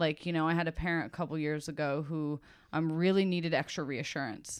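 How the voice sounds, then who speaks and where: A woman speaks at a fairly quick pace in a fairly low pitch, in an unremarkable speaking voice. The recording is very clean, with a silent background. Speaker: elementary teacher. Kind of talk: casual chat, interview over wine.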